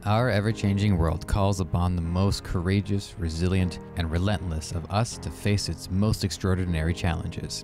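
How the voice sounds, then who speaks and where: Music plays in the background as a man with a very deep, low pitch talks at a moderate pace with fairly even intonation and hardly any pauses. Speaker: podcast host. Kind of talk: podcast intro.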